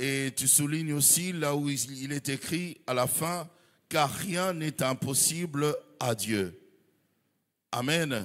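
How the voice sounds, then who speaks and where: At a very slow pace, a man with a fairly high voice and ordinary pitch variation is heard on a very clean recording with a silent background. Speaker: pastor and journalist. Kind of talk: sermon.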